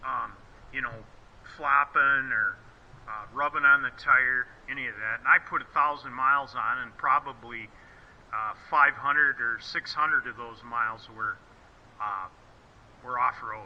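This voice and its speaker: A man with an American accent speaks at a fairly slow pace, leaving long, frequent pauses, his loudness swinging widely. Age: 60s. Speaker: motorcycle rider and mechanic. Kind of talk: casual gear review video. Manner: halting, with many fillers.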